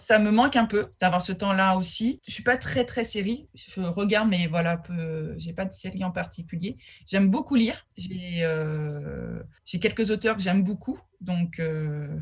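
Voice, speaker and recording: A woman speaks at a medium pitch and a fairly slow pace, her voice somewhat breathy. Her loudness swings a lot, while her pitch varies in an ordinary way. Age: 40s. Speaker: food educator and business owner. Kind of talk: interview. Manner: halting.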